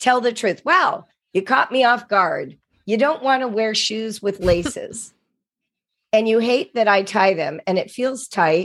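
In a very clean recording with a silent background, a woman with an ordinary speaking voice and fairly high pitch speaks fairly slowly with lively intonation. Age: 60s. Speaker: author and education writer. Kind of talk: interview.

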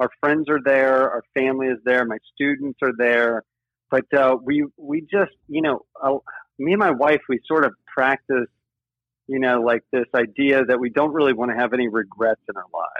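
With an American accent, a man speaks at a moderate pace and medium pitch. His intonation is fairly even. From Ohio, US Midwest. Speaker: yoga teacher in recovery from addiction. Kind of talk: casual interview. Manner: halting, many fillers and repeated words.

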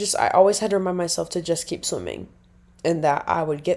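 On a very clean recording with a silent background, a woman with an American accent speaks at a moderate pace. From Nebraska. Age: 20s. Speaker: podcaster. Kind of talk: casual monologue. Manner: rambling, chatty.

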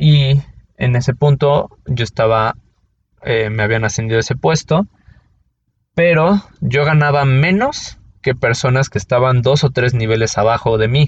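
A man's medium-pitched voice in a Mexico City accent, very even in loudness, at a fairly slow pace with ordinary pitch variation. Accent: Mexican Spanish (Mexico City). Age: 30s. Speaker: podcast host. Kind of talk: personal monologue. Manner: casual, with many fillers.

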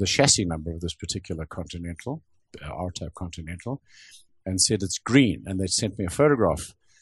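Somewhat breathy and very deep in pitch, a man speaks at a moderate pace against a quiet background, with a dry, close sound and no echo. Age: 70s. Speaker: automotive sculptor. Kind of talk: interview.

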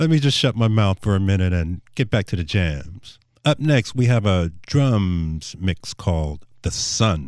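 A natural reading voice is heard. Its intonation is lively.

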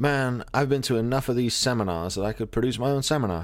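A man with a plain, everyday voice at a medium pitch and ordinary pitch variation. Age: 40s. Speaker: podcast host. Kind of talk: casual chat.

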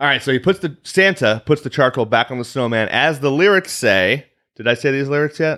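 With a Chicago accent, the speaker talks at a fairly quick pace with lively intonation on a very clean recording with a silent background. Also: man, fairly high pitch for a man. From US Midwest, Chicago area. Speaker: podcast co-host. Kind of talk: casual chat.

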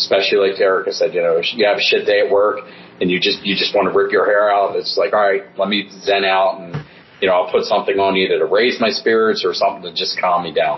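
Amid noticeable background noise, a man with an American accent speaks at a very fast pace. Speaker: rock drummer. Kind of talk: casual interview.

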